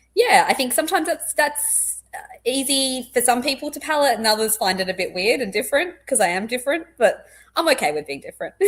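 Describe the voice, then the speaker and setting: With a slight Australian accent, a woman talks at a very fast pace, her high pitch swinging very widely. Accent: slightly posh Australian. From Australia, born in England. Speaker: clinical psychologist. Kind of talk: casual interview chat. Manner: loud and intense.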